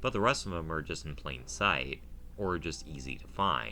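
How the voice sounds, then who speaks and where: Audible room echo carries a man's very deep, low-pitched voice. He speaks at a moderate pace. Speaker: gaming video creator. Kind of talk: let's play commentary. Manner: casual, halting with fillers.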